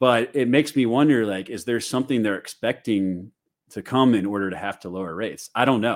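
In a very clean recording with a silent background, a man with a normal speaking voice and an American accent talks at a fairly quick pace, his medium pitch showing ordinary variation. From US Midwest, St. Louis. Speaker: crypto content creator and solar industry consultant. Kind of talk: casual chat.

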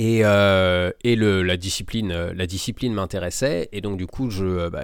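Very deep, low male speech, very clean recording, silent background. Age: 30s. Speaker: hypnotherapist and sports mental coach. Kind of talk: interview. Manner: hesitant, many fillers.

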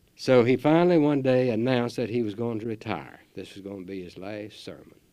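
A man with a Southern US accent speaks at a fairly quick pace in a dark, mellow tone. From US South, North Carolina. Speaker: gardening radio host. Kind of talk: radio talk show. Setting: studio.

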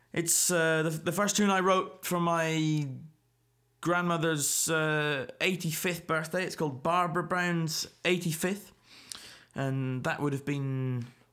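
In a very clean recording with a silent background, a man with a Scottish accent speaks very slowly, his bright, sharp tone set at a fairly high pitch with ordinary pitch variation. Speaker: folk musician and podcast host. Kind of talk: solo podcast monologue. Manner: halting, many fillers.

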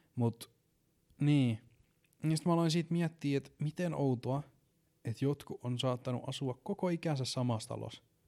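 In a dry, close recording with no echo, a man with a fairly high voice and a dark, mellow tone speaks at a moderate pace with ordinary pitch variation and long, frequent pauses. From Finland, Ähtäri area and Satakunta. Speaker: podcast host. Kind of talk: casual monologue. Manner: hesitant, many filler words.

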